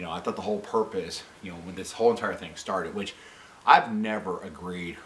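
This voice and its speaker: Light background noise is present. A man is speaking. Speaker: vlogger. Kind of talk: opinion vlog rant. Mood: frustrated, critical. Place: home room.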